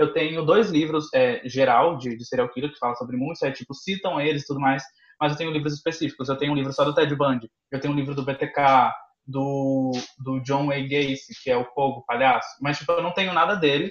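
At a fairly quick pace, a man with a fairly high pitch and ordinary pitch variation speaks in an unremarkable speaking voice. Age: 20s. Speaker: content creator and university student. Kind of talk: casual chat.

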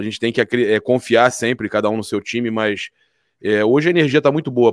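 A man talks at a fairly quick pace in a normal speaking voice. The sound is dry and close, with no echo, on a very clean recording with a silent background. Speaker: sports commentator. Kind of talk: sports debate.

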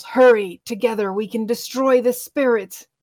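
Putting on a character voice, a woman growls at a high pitch and a moderate pace. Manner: urgent.

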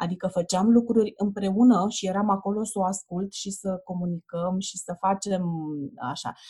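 A woman's somewhat breathy, medium-pitched voice with a dark, mellow tone, monotone, flat intonation and a moderate pace. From Romania, Ploiești. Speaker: children's book author and publisher. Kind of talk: casual interview.

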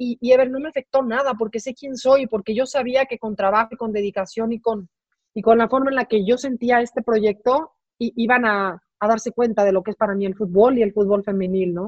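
A woman with a fairly high pitch speaks at a fairly quick pace with fairly even intonation. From Mexico. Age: 40s. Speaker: sports executive and former TV sportscaster. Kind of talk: interview. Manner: halting, frequent repetitions.

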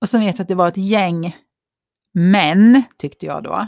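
Speaking at a fairly slow pace and medium pitch, a woman with a normal speaking voice is heard in a very clean recording with a silent background. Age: 50s. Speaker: podcast co-host. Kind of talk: casual chat.

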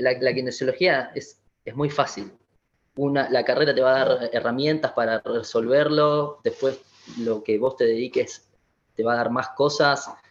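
A man's plain, everyday voice at medium pitch, at a fairly slow pace. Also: fairly even intonation. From Argentina, Buenos Aires western suburbs. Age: 20s. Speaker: physiotherapist. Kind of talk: interview.

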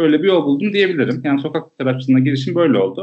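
A man at a fairly high pitch. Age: 20s. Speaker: street photographer and public health field worker. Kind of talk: casual interview chat.

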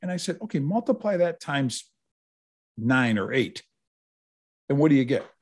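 With an American accent and a fairly high pitch, a man speaks at a moderate pace, his pitch swinging very widely between long, frequent pauses against a quiet background. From Upstate New York (Utica). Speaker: retired football writer and author. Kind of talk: casual interview.

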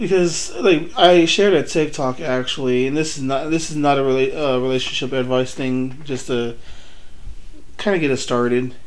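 A man's fairly high voice varies in pitch in an ordinary way, with noticeable background noise present. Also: moderate pace. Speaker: couples podcast co-host. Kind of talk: casual chat.

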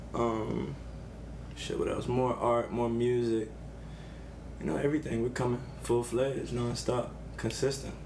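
An American accent at a moderate pace, with long, frequent pauses and audible room echo. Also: man. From Savannah, Georgia. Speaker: artist and designer. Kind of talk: casual chat.

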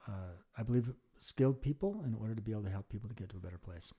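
At a very fast pace, a man talks in a fairly low pitch, his tone dark and mellow and somewhat breathy, with ordinary pitch variation. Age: 50s. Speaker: licensed clinical social worker and therapist. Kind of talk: casual chat.

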